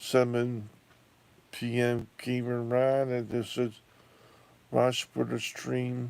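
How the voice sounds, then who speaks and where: A man talks at a very slow pace. His pitch is medium. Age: 60s. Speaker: YouTuber. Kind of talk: casual monologue. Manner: halting.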